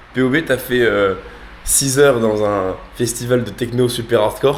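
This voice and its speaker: Over noticeable background noise, a man talks with fairly even intonation and very even loudness. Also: medium pitch for a man, fairly slow pace. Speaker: vlogger. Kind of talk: casual vlog chat.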